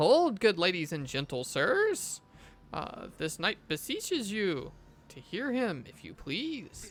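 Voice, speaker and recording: The speaker uses a put-on character voice at a middle pitch. Delivery comes at a fairly slow pace. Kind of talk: archaic courtly speech. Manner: formal, earnest.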